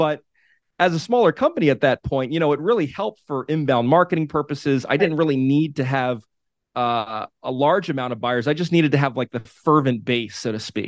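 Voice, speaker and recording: In a dry, close recording with no echo, a man with an unremarkable speaking voice talks at a fairly quick pace and fairly high pitch, with ordinary pitch variation. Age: 40s. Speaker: media company founder. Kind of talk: interview.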